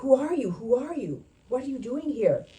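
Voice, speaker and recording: Putting on a character voice, a woman speaks at a moderate pace and high pitch, with ordinary pitch variation and big swings in loudness. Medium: read story.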